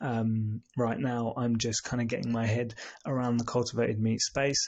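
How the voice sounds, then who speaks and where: A soft-spoken man talks at a moderate pace in a medium pitch, his intonation flat and monotone and his loudness very even. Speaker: podcast host. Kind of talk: casual explainer monologue. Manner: soft-spoken, talking quietly; hesitant, many fillers.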